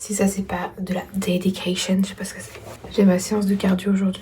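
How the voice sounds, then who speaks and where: A woman at medium pitch with monotone, flat intonation, moderate pace and audible room echo. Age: 30s. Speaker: vlogger. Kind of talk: casual vlog talk. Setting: gym. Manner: casual, hesitant with many fillers.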